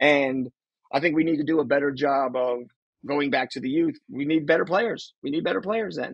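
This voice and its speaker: A man with an American accent, fairly high in pitch and fairly quick in pace, in a dry, close sound with no echo. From New Jersey. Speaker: soccer podcast co-host and youth coach. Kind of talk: casual chat.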